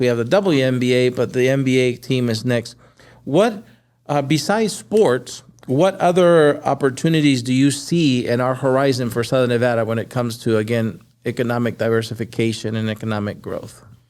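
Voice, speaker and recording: On a very clean recording with a silent background, a man in an ordinary speaking voice talks at a fairly quick pace, at medium pitch with ordinary pitch variation. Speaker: podcast host. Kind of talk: podcast interview host.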